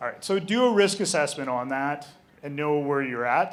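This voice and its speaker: This man speaks with a Canadian accent at a fairly high pitch and ordinary pitch variation. Room echo is audible around his voice. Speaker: game store owner, presenter. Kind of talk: live presentation. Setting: stage with audience. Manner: fast.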